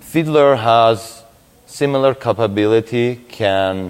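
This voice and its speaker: A man speaks with a Russian accent. His pitch variation is ordinary. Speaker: security researcher, conference speaker. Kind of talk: conference talk.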